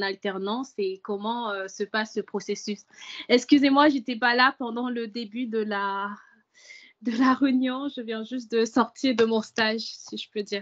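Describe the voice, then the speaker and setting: This speaker has an English accent and a fairly slow pace. The intonation stays fairly even. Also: woman, dry, close sound with no echo. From English- and French-speaking country. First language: English (speaking French). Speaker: prospective student. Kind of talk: webinar question. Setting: video call webinar.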